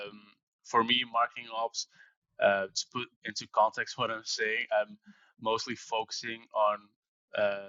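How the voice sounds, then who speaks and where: Fairly slow speech in a Dutch accent, with big swings in loudness. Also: man. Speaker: marketing operations professional. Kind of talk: interview. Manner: halting.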